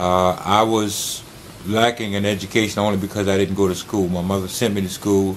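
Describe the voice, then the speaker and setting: Noticeable background noise surrounds a man speaking with monotone, flat intonation. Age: old. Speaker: TV program host. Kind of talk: TV interview.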